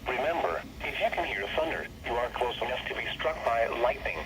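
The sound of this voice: At a fairly quick pace, a man speaks with a medium pitch and lively intonation, with audible room echo around him.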